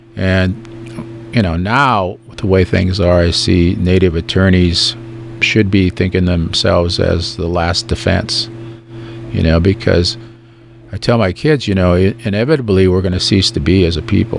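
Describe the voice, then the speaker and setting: With noticeable background noise behind him, a man talks at a moderate pace in a very deep, low pitch with ordinary pitch variation. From Standing Rock, North/South Dakota (Lakota). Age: 60s. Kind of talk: radio interview. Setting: radio studio. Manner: conversational, many fillers.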